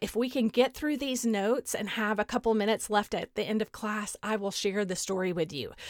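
In a Texas accent, a woman with a fairly high pitch speaks at a moderate pace in a very clean recording with a silent background and a dry, close sound with no echo. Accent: Southern US (Texas). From Southeast Texas, Beaumont. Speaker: podcast host, educator. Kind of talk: solo podcast talk.

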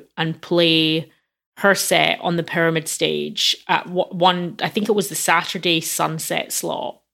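A woman with a Glasgow accent, fairly low in pitch, with vocal fry, fairly even intonation and a fairly slow pace, on a very clean recording with a silent background. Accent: Scottish (Glasgow). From Scotland, Glasgow. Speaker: music journalist and activist. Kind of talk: interview.

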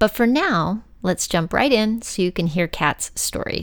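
On a very clean recording with a silent background, a woman with a normal speaking voice and an American accent talks at a fairly slow pace, fairly high in pitch with lively intonation. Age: 50s. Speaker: podcast host. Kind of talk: scripted narration; casual chat.

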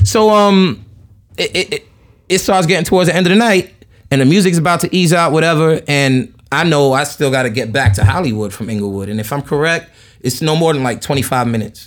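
Fairly quick delivery in a New York accent, with very wide pitch swings. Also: man, fairly high pitch for a man. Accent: New York (Queens). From Jamaica, Queens, New York City. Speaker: podcast guest, solo traveler. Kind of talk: casual chat. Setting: in person at host's place in Long Island.

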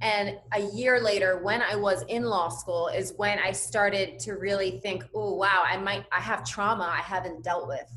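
Noticeable background noise sits behind a woman's voice. She speaks at a moderate pace. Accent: General American. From US, Cuban and Puerto Rican family. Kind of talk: casual interview chat. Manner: high energy, positive.

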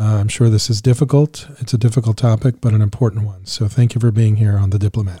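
A man with an American accent speaks at a fairly quick pace and medium pitch, somewhat breathy with a dark, mellow tone. His intonation stays fairly even. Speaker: podcast host and former diplomat. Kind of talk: interview.

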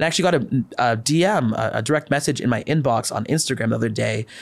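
Rattling along at a very fast pace, a man at a medium pitch speaks with vocal fry and ordinary pitch variation. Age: 20s. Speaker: medical student and health content creator. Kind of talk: interview.

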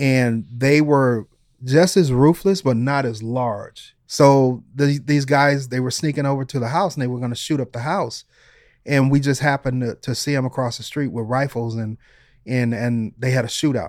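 A man with an American accent speaks in an ordinary speaking voice at a medium pitch, moving at a moderate pace with fairly even intonation. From Detroit, US Midwest. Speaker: retired police detective and author. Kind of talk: interview storytelling.

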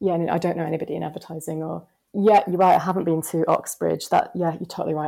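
Vocal fry colors a dark, mellow tone delivered at a very fast pace with fairly even intonation. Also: woman. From West Yorkshire, England. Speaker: planner. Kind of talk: casual interview chat.

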